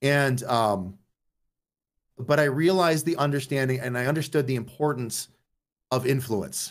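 Pausing long and often, a man speaks at a moderate pace with a medium pitch and ordinary pitch variation. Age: 40s. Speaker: streamer. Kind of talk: casual chat. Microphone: mic cutting out at times.

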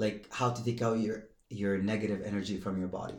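With a non-native accent, this speaker uses a moderate pace, monotone, flat intonation and a dark, mellow tone. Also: man. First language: not English. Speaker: professional athlete and entrepreneur. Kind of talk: casual chat.

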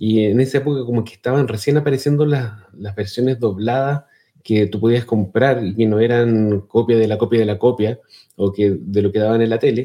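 A man with a Chilean accent at a fairly quick pace. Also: medium pitch for a man, fairly even intonation. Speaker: podcast co-host. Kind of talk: casual chat.

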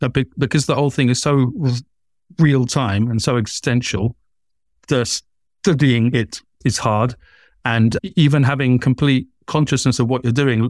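At a moderate pace and medium pitch, a man speaks with fairly even intonation and long, frequent pauses, the sound dry and close with no echo. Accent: southern British. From southern England. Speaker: author, artist and lecturer. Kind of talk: casual interview chat. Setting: video call, remote from host. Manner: stammers at times.

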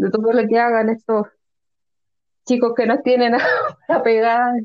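Monotone, flat intonation at a moderate pace. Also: woman. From Chile, Concepción. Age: 20s. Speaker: educational psychologist and fan club member. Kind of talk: casual chat.

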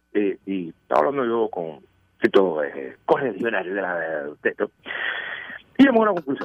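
A moderate pace with big swings in loudness. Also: man. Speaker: news commentary segment contributor. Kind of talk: humorous news commentary. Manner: animated.

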